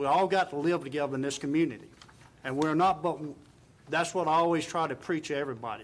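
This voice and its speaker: A man with a Virginia accent speaks at a fairly quick pace and a fairly high pitch, with ordinary pitch variation. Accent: southern US (Virginia). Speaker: town council member. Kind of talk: council meeting remarks. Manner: soft-spoken.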